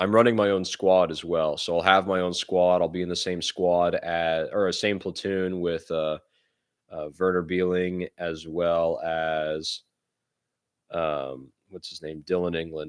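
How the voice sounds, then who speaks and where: A man speaks with an American accent in a very deep, low pitch. His delivery is monotone and flat at a fairly slow pace, against a quiet background. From United States. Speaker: live streamer and war reenactor. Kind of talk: casual livestream Q&A reading chat. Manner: casual, conversational.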